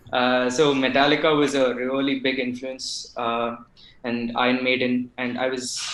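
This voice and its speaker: Over noticeable background noise, a man with a Tamil accent speaks in a medium pitch with a monotone, flat intonation. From Tamil Nadu, India. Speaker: bassist in a band. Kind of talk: podcast interview. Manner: hesitant, many fillers.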